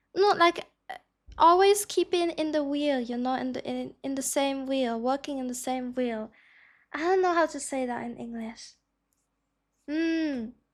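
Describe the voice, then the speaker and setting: At a fairly slow pace with long, frequent pauses, a woman with a German accent speaks in a high voice with ordinary pitch variation, on a very clean recording with a silent background. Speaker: streamer. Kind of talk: live stream reaction commentary. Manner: halting.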